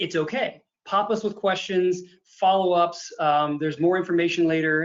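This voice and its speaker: The speaker is a man with an American accent. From US Midwest, Illinois. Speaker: accountant and advisory consultant. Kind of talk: webinar presentation. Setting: video call webinar with screen share. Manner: fast; animated.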